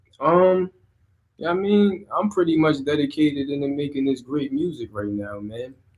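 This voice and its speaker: A man with a New Jersey accent, fairly high in pitch, with lively intonation at a moderate pace. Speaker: rapper. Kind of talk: interview. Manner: casual.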